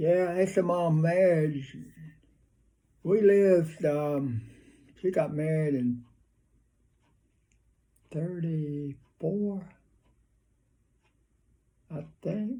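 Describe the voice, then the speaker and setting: A man's high-pitched voice in a Southern US accent, dark and mellow in tone, at a very slow pace with ordinary pitch variation and long, frequent pauses. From North Carolina, USA. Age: 80s+. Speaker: WWII veteran. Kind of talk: interview answer.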